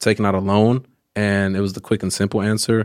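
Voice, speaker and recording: A man with a fairly low pitch uses an ordinary speaking voice at a fairly quick pace. The sound is dry and close with no echo, on a very clean recording with a silent background. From Oakland, California. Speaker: journalist and educator. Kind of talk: casual chat.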